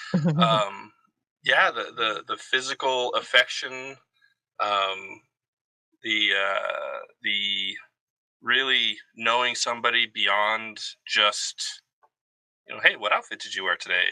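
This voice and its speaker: There are long, frequent pauses as a man talks. He speaks at a very slow pace. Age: 40s. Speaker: army veteran. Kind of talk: casual conversation.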